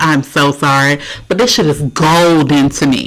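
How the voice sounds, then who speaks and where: A woman speaks with a very deep, low pitch in an animated tone. Noticeable background noise is present. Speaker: reaction video host. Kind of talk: casual reaction commentary. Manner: loud, animated.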